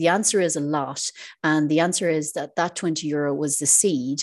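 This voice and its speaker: A woman's very deep, low pitch in an Irish accent, monotone and flat, at a moderate pace over a quiet background. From Ireland. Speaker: financial advisor and property investor. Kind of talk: interview.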